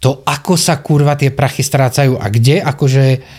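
With a Slovak accent, a man speaks in a somewhat breathy, dark, mellow tone at a fairly high pitch, his intonation fairly even. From Slovakia. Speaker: podcast host, calendar photographer. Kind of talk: casual chat. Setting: studio.

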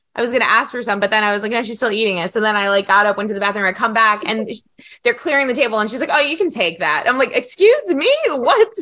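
This woman talks at a very fast pace with ordinary pitch variation. Her tone is bright and sharp. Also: fairly high pitch for a woman. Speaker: EFT healer and podcast host. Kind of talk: casual chat. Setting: video call.

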